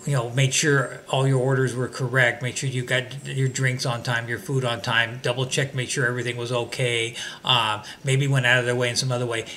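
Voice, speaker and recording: Over noticeable background noise, a man with an American accent talks at a fairly quick pace and medium pitch, his intonation monotone and flat, with hardly any pauses. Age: 60s. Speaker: vlogger. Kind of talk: casual monologue. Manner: hesitant, many fillers.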